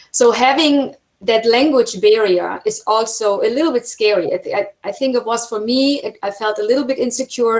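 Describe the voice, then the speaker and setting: In a German accent, a woman talks with ordinary pitch variation. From Germany. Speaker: film producer and university instructor. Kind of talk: webinar talk.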